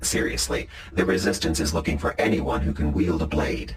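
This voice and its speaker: A man in a put-on character voice speaks at a fairly quick pace with a very deep, low pitch against clear background noise. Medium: comedy sketch.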